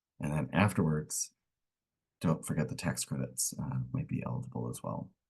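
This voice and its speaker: A man with a very deep, low pitch and vocal fry speaks with ordinary pitch variation. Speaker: energy program community liaison manager. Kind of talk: webinar presentation. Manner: fast.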